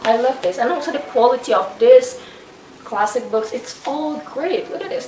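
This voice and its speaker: A high-pitched woman with a non-native accent, very wide pitch swings, and noticeable background noise. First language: not English. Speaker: booktuber. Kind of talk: casual book review vlog. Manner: halting.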